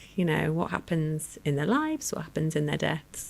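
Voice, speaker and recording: A woman speaks with a Lancashire accent. She keeps a moderate pace. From northern England, Lancashire. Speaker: research director and end-of-life doula. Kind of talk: interview conversation. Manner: hesitant, many fillers.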